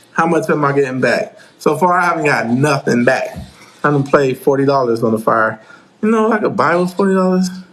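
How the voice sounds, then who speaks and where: A man's fairly high voice with lively intonation and very even loudness, set against noticeable background noise. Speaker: craps teacher, YouTuber. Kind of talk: live stream chat answering viewer questions. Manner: casual, repetitive.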